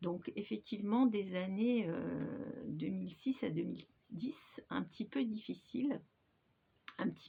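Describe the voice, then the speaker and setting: This woman's voice sits at a medium pitch and carries vocal fry. She speaks at a fairly slow pace. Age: 60s. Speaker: hypnosis practitioner. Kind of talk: personal testimony to camera. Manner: hesitant, many filler sounds.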